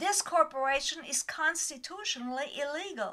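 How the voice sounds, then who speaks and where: A woman's raised, projected voice, high in pitch and bright and sharp in tone, with ordinary pitch variation. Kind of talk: political commentary voice-over. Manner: slow.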